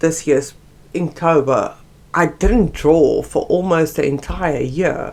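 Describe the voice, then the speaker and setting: A woman speaks with a South African accent. Her pace is very slow. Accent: Afrikaans South African. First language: Afrikaans. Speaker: art YouTuber. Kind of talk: casual chat. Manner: halting.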